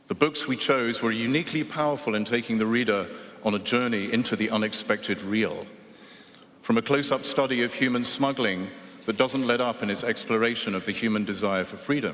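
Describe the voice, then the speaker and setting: A man talks with an English accent. His pace is fairly quick. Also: medium pitch for a man, ordinary pitch variation. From England. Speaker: award judge and author. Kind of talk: award ceremony speech. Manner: hesitant with fillers at start.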